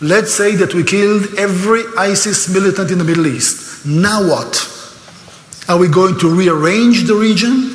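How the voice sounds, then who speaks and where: A man with an Israeli accent speaks at a moderate pace in a high pitch, his tone animated and his pitch varying in an ordinary way. Audible room echo and noticeable background noise come through on the recording. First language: Hebrew. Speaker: speaker on Israel, tour guide. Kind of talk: lecture. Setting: church, stage with audience.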